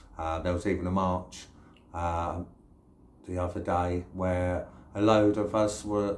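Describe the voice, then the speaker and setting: With a slight London accent, a man speaks at a fairly low pitch and fairly even intonation in a room with audible echo. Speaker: YouTuber. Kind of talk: casual vlog monologue. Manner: hesitant, many fillers.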